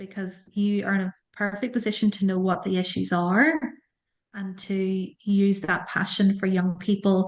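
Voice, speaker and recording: Against a quiet background, a woman with an Irish accent speaks at medium pitch and a moderate pace, her intonation fairly even. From Ireland. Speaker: school leader and careers coach. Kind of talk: interview.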